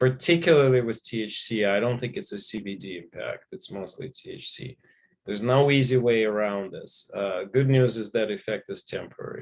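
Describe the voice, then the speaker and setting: Lively intonation marks this man's speech in a non-native accent. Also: medium pitch for a man, moderate pace, big swings in loudness. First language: not English. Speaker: physician and author. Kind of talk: panel discussion.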